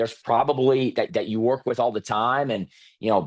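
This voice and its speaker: Against a quiet background, a man speaks at a fairly quick pace with medium pitch. The sound is dry and close, with no echo. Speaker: sales trainer and speaker. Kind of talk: webinar presentation. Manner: fast.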